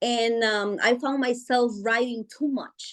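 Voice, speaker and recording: A woman speaks at a fairly slow pace in a Guatemalan accent. Her pitch is high, and the background is quiet. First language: Spanish. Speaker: author. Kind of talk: interview. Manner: hesitant, many fillers.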